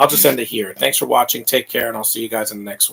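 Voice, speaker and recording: A put-on character voice from a man, medium in pitch and raspy, with big swings in loudness and a very fast pace. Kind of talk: video sign-off.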